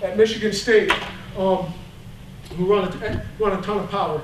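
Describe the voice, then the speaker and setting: A man's fairly even intonation is heard through audible room echo and noticeable background noise. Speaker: high school football line coach. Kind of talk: coaching clinic lecture. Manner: fast.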